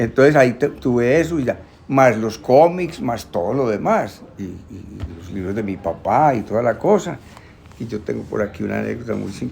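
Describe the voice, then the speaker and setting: Medium-pitched male voice with big swings in loudness over noticeable background noise. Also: lively intonation, moderate pace. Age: 70s. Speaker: bookseller. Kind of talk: casual chat. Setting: bookshop.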